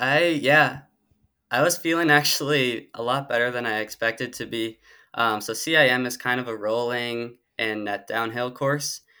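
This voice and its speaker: The recording is very clean, with a silent background, as a man with an Upper Midwest US accent speaks at a moderate pace. His medium-pitched voice has a bright, sharp tone and fairly even intonation. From Minnesota. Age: 20s. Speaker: marathon runner. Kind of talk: casual interview.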